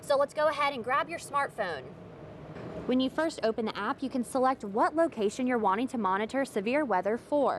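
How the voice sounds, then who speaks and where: Over noticeable background noise, a woman talks in a high voice with ordinary pitch variation. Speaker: television reporter and anchor. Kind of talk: live reporter stand-up and explainer segments.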